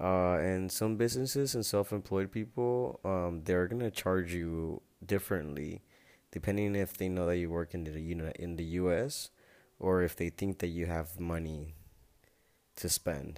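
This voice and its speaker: A man with a Spanish accent speaks in a very deep, low pitch at a fairly slow pace. His pitch varies in an ordinary way, and the recording is very clean with a silent background. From Nayarit, Mexico. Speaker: podcaster. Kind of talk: casual monologue.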